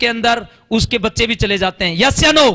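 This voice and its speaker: Projecting his voice, a man speaks at an extremely high pitch with ordinary pitch variation. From Haryana, India. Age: 40s. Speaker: ex-army network marketer. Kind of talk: motivational stage testimony. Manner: animated, repetitive emphasis.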